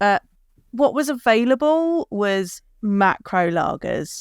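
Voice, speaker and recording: A woman with an English accent speaks with very wide pitch swings in a dry, close sound with no echo. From southern England, Kent. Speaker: beer educator. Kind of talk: casual interview. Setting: video call.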